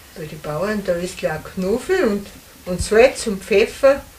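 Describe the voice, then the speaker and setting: A woman talks at a fairly slow pace with lively intonation. Noticeable background noise runs underneath. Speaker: contemporary witness. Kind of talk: interview.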